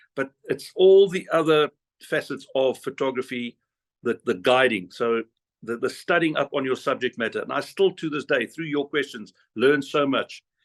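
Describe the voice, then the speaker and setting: In a plain, everyday voice, a man speaks at a moderate pace and a fairly high pitch with ordinary pitch variation. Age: 50s. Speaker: whale photographer and guide. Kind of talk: interview answer on video call.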